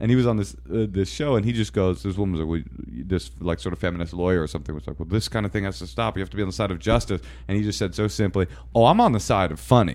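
With vocal fry and a very deep, low pitch, a man speaks at a very fast pace with very wide pitch swings. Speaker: comedian and TV writer. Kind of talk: casual conversation. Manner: very fast talker.

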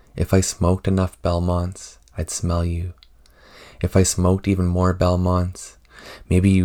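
A man with a very deep, low pitch speaks in a monotone, flat way, the sound dry and close with no echo. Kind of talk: poetry reading. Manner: somber, slow, reflective.

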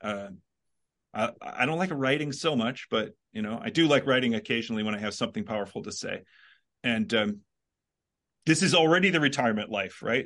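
Against a quiet background, a man speaks fairly quickly at medium pitch, with very wide pitch swings and long, frequent pauses. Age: 50s. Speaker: philosophy professor. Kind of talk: casual chat.

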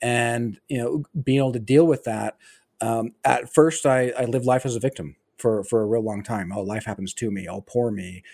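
A man with an American accent speaks at a medium pitch with ordinary pitch variation. His tone is dark and mellow, and the sound is dry and close with no echo. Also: moderate pace. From Utah. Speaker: army veteran. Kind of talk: casual interview. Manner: frequent fillers and hesitations.

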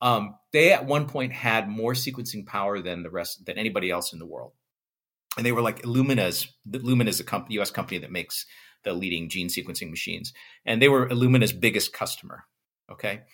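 A man with an American accent talks at a fairly quick pace in a normal speaking voice, medium in pitch with ordinary pitch variation. His loudness swings widely, and the recording is very clean with a silent background. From United States. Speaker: physics professor and tech entrepreneur. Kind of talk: interview.

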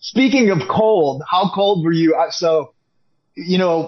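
A man talks with an Upper Midwest accent. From Wisconsin, River Falls. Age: 50s. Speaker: fan. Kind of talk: casual chat. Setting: video call.

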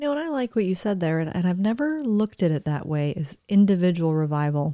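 A woman with a slight Southern US accent speaks at a moderate pace. Her tone is dark and mellow, and the sound is dry and close with no echo. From Florida, US. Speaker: co-host. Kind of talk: casual chat.

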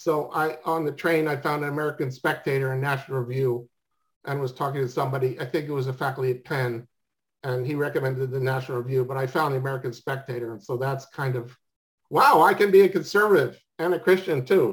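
The speech is very fast and somewhat breathy. Pitch variation is ordinary. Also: man, fairly high pitch for a man. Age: 60s. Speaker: podcast interviewer, former chemistry teacher. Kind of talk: casual interview. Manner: halting, many repeated words.

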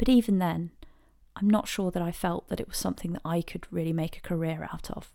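A fairly low-pitched woman with an English accent, ordinary pitch variation and a fairly quick pace, on a very clean recording with a silent background. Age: 30s. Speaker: podcast host, interior designer, former teacher. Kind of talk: personal monologue. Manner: hesitant, many fillers.

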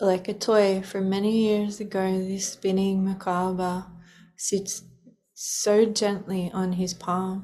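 Her pitch sits at a medium level, with a soothing, calm tone. The woman speaks at a very slow pace with monotone, flat intonation. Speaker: podcast host and meditation guide. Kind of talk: guided meditation. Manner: slow, soothing, calm, with pauses.

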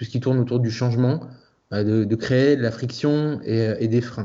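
At a medium pitch, a man delivers his words at a moderate pace. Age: 40s. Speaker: freelance UX designer and design teacher. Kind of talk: interview. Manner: hesitant, many fillers.

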